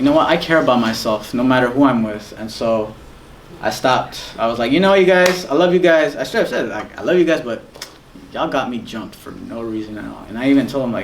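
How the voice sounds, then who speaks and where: A man talks at a very fast pace with lively intonation and big swings in loudness. Audible room echo and noticeable background noise surround him. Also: medium pitch for a man. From Guatemala. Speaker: guest speaker. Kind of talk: testimony. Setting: school talk to students.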